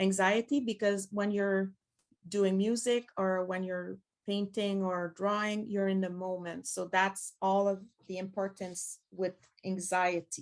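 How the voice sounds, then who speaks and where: This woman talks fairly slowly at a medium pitch. Her intonation stays monotone and flat. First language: French. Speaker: pedagogue and former teacher. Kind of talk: conference presentation. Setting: conference with audience.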